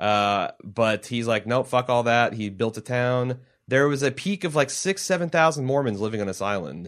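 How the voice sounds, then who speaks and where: Against a quiet background, a man with an American accent and a normal speaking voice talks at a moderate pace with hardly any pauses, his medium pitch rising and falling in lively intonation. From US Midwest (Cincinnati). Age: 30s. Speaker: podcast host. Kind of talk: casual chat. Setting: studio.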